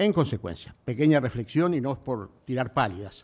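A man speaks at a moderate pace in a dark, mellow tone. His intonation is lively. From Uruguay. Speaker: civil service official. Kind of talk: formal speech. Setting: stage with audience. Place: hall. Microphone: podium.

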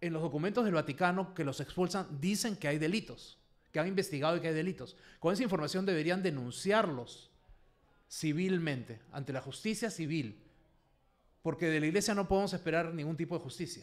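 A man with a high pitch, a fairly quick pace, and ordinary pitch variation. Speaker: abuse survivor and activist. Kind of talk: panel discussion.

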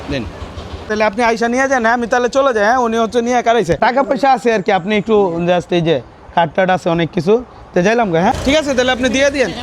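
A man speaks amid noticeable background noise. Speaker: YouTuber doing street surprise videos. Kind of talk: casual vlog narration. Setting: outdoors on street at night.

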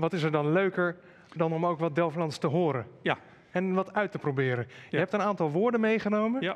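This man talks fairly quickly in a high voice, his pitch rising and falling by an ordinary amount. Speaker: event moderator. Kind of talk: moderated panel conversation. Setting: live stream with chat. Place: studio. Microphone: headset.

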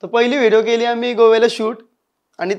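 Over a quiet background, a man is talking. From India, Panvel area (Maharashtra); Maharashtra. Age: 20s. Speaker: comedy YouTuber; interview guest, YouTube comedy actor. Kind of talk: interview. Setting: studio. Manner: casual, colloquial. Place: studio.

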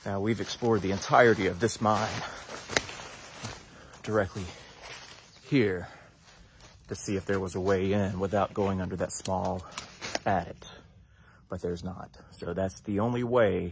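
A man with a very deep, low pitch speaks with fairly even intonation and a somewhat breathy sound. He leaves long, frequent pauses over light background noise. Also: dry sound with no echo. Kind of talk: casual vlog chat. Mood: cautious, a bit nervous. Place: forest. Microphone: phone near.

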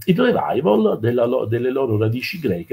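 With a fairly low pitch, a dark, mellow tone and a husky, rough edge, this man shows vocal fry and big pitch swings at a moderate pace.

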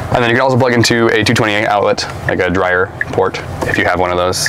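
Noticeable background noise runs under this man's voice. He talks at a fairly quick pace with fairly even intonation. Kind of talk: casual conversation. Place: car.

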